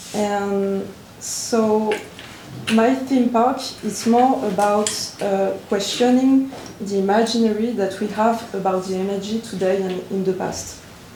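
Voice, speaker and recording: Against noticeable background noise and audible room echo, a voice with a French accent speaks at a fairly slow pace. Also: woman, medium pitch for a woman. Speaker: visual artist. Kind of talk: conference talk. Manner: halting.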